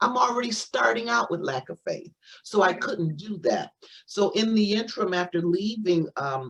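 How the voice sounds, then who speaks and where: Speaking with an American accent, a woman uses lively intonation at a medium pitch and moderate pace. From Missouri, US Midwest. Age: 60s. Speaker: spiritual teacher, doctor of metaphysics. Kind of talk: interview testimony. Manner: halting, many repetitions.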